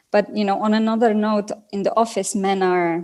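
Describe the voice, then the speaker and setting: A woman with a non-native accent speaks at a moderate pace, keeping her intonation fairly even. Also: very clean recording, silent background. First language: not English. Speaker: business executive. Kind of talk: interview. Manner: halting.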